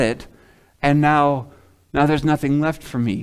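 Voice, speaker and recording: A man's plain, everyday voice, fairly high in pitch and fairly slow, on a very clean recording with a silent background. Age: 30s. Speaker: pastor. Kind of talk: sermon.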